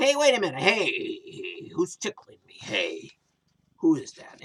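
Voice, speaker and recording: A man speaks at a fairly slow pace in a put-on character voice pitched extremely high. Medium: read story.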